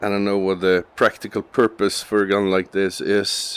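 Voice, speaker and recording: With a non-native accent, a man speaks at a fairly slow pace in a monotone, flat intonation. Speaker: gaming video creator. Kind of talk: gameplay commentary. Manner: halting.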